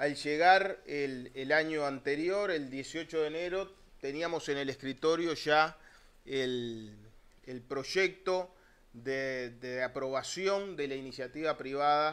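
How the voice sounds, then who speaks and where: Speaking very slowly, a man uses a fairly high pitch with ordinary pitch variation. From Uruguay. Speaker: public water utility director; speaker. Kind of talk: panel talk. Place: meeting room. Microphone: podium.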